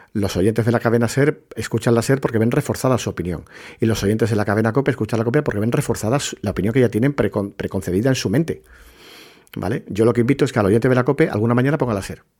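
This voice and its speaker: A man's medium-pitched voice at a very fast pace with ordinary pitch variation, in a very clean recording with a silent background. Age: 40s. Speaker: podcast host, journalist. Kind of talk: live-stream monologue, opinion talk. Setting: TikTok live stream. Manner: hesitant, with many fillers and repetitions.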